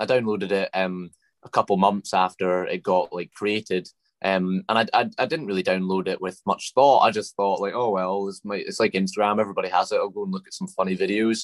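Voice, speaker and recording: A man talks with a Scottish accent at a fairly low pitch and a fairly quick pace. His intonation is fairly even, and the sound is dry and close with no echo. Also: quiet background. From Scotland. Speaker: TikTok creator and comedian. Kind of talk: casual interview.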